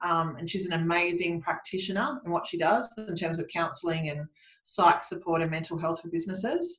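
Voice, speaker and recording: A woman with a fairly low pitch and an Australian accent, at a fairly quick pace, with ordinary pitch variation. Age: 40s. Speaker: recruitment business owner. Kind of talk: interview.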